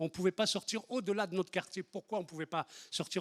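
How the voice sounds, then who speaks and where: Very fast and high-pitched, a man talks with ordinary pitch variation. The recording is very clean with a silent background and a dry, close sound with no echo. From France, Lyon area (Les Minguettes), Algerian-born. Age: 60s. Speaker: activist, historic 1983 marcher. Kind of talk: testimony. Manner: halting, many hesitations and repetitions.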